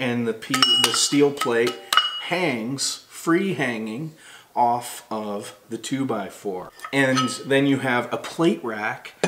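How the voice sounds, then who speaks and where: Speech from this man comes very slowly. Clearly audible noise sits in the background. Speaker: product reviewer. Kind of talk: product review talk. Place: home room.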